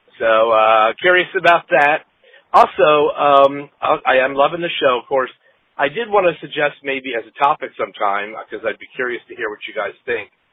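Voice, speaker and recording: A man with a plain, everyday voice speaks at a moderate pace and fairly high pitch, his intonation lively and his loudness swinging widely. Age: middle-aged. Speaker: listener leaving a voicemail, former podcaster. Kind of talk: voicemail message. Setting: phone voicemail.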